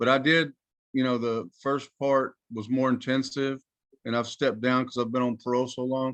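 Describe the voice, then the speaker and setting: A man with an American accent and monotone, flat intonation, in a dry, close sound with no echo. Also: medium pitch for a man, moderate pace. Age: 60s. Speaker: license applicant before a licensing board. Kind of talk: testimony at a board hearing. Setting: video call. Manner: halting.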